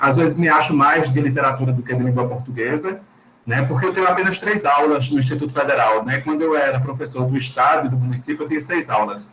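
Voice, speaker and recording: A man with a Pernambuco accent, very fast pace and fairly high pitch, over noticeable background noise. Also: ordinary pitch variation. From Recife, Pernambuco, Brazil. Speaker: Portuguese teacher. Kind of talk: panel discussion.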